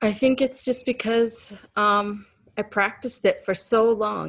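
A woman talks at a fairly slow pace. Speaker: interview guest. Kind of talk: interview answer. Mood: reflective, open, occasional laughs. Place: home room. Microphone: video call.

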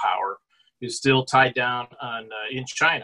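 The man talks at a moderate pace, with the background quiet around him. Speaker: presenter. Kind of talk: lecture. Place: home room. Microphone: webcam.

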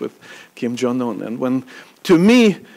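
A man speaks at a moderate pace. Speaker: event host introducing a speaker. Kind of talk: speech introduction. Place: hall. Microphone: podium.

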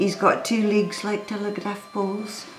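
A woman speaks with a Scottish accent at a fairly slow pace. Audible room echo and faint music sit in the background. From Scotland. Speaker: storyteller. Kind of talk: children's story telling. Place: home room.

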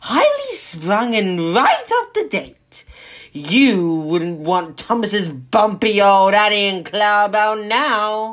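A female-sounding, put-on character voice at medium pitch. The pace is very slow. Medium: read story. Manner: boastful, indignant.

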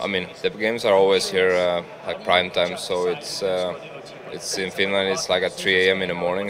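At a fairly slow pace, the speaker talks over noticeable background noise. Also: man. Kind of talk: interview answer. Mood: relaxed, nostalgic. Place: hall. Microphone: studio mic.

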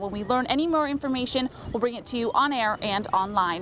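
High-pitched woman at a fairly quick pace, dry sound with no echo, light background noise. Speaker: TV news reporter. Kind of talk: news report stand-up. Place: waterside.

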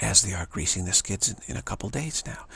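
A man talks fast at low pitch, with a fairly bright tone, lively intonation and vocal fry.

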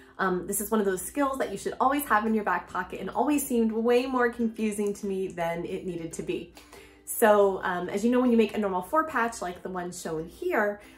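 A woman talks at a fairly quick pace with faint music in the background. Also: ordinary pitch variation. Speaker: quilting instructor. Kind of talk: tutorial. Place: home room.

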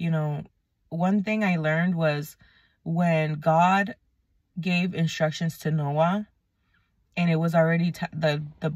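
Very slow, somewhat breathy woman's speech, fairly low in pitch, with monotone, flat intonation, long, frequent pauses and a dry sound with no echo. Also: quiet background. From New England, Puerto Rican heritage. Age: 30s. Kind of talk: casual faith talk to camera. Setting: in a car. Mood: earnest, concerned. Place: car. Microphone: phone near.

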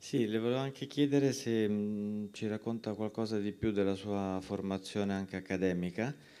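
Dark and mellow in tone, a man's fairly low voice moves at a moderate pace with fairly even intonation. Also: hardly any pauses. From Italy. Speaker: festival moderator. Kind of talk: Q&A moderation. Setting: stage with audience. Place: hall.

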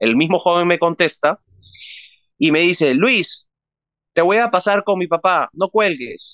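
A man's high-pitched voice with a Peruvian accent, at a fairly slow pace with ordinary pitch variation and a dry sound with no echo. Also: quiet background. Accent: Peruvian Spanish (Lima). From Peru, Lima. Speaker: interview guest. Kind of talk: personal testimony in an interview. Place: home room. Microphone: phone near.

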